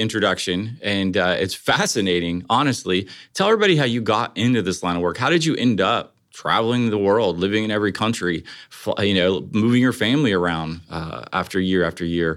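On a very clean recording with a silent background, a man with an American accent and a normal speaking voice talks at a fairly quick pace and fairly low pitch, with hardly any pauses. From Ohio. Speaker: podcast host. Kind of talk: interview.

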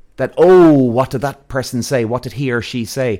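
An Irish-accented man at a moderate pace, medium pitch and lively intonation, on a very clean recording with a silent background. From Ireland. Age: 40s. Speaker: podcast host. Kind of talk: solo podcast monologue. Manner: casual, animated.

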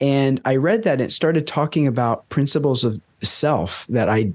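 A man with a plain, everyday voice, medium in pitch with lively intonation, at a moderate pace and very even loudness, against a quiet background. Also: hardly any pauses. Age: 20s. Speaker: holistic lifestyle coach and former monk. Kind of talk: casual interview chat.

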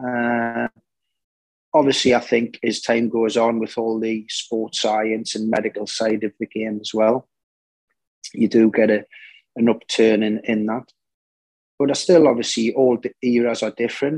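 Flat, monotone delivery in a Geordie accent at a fairly slow pace, with long, frequent pauses. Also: man, medium pitch for a man, dry, close sound with no echo. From northern England, Newcastle. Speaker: football manager, former player. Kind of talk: interview.

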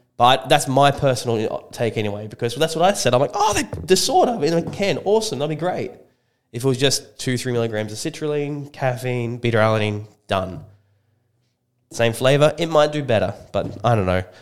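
A man with an Australian accent talks at a fairly quick pace. His medium-pitched voice has lively intonation. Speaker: supplement shop co-host. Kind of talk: casual chat. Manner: laid-back, agreeable.

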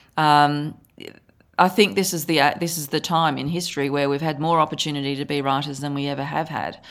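A woman with a very deep, low pitch and vocal fry speaks in an Australian accent, captured in a very clean recording with a silent background. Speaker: author and photographer. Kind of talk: interview, conversational.

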